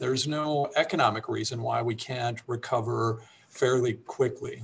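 Over light background noise, a man with a medium pitch talks with ordinary pitch variation. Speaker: economic development executive. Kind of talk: panel discussion. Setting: video call. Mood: measured, optimistic. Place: office. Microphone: webcam.

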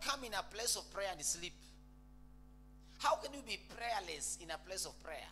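A man talks at a moderate pace with lively intonation. Music plays in the background. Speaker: preacher. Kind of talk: sermon. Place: church. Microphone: handheld.

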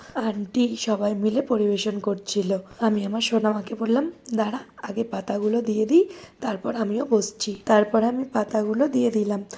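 Fairly high-pitched woman's voice with fairly even intonation amid noticeable background noise. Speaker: vlogger, mother. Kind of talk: vlog voice-over narration.

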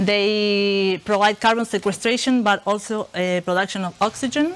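Speaking at a moderate pace, a woman with an Argentine accent uses ordinary pitch variation. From Argentina, Buenos Aires. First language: Spanish. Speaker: researcher. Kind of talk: lecture. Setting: stage with audience. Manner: halting, many fillers. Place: classroom.

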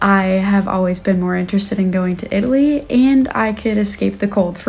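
A woman talks at a fairly quick pace with hardly any pauses. Her voice is somewhat breathy. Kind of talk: casual vlog chat. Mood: cheerful, smiling. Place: home room. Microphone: phone near.

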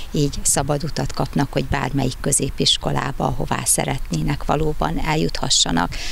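A man speaks at a fairly quick pace with hardly any pauses and very even loudness, in a dry sound with no echo and light background noise. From Hungary. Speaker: school principal. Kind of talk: news interview statement. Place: street. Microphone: handheld.

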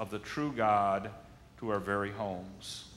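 A man's fairly slow speech in an American accent. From Michigan, US Midwest. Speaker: pastor. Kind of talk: sermon. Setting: church. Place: church.

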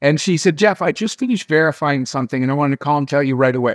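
Against a quiet background, a man speaks with lively intonation. The sound is dry, with no echo. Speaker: interview guest. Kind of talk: interview answer, storytelling. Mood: animated, amused. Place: home room. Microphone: webcam.

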